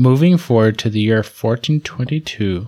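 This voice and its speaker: Man with a normal speaking voice, medium pitch and lively intonation. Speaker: podcast co-host. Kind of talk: casual chat.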